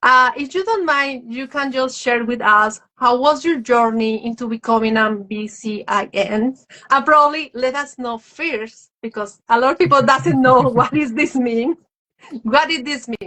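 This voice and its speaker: A woman with a Spanish accent speaks at a high pitch. Her pace is fairly slow. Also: ordinary pitch variation. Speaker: live stream host. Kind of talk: interview on live stream. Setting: social media live video.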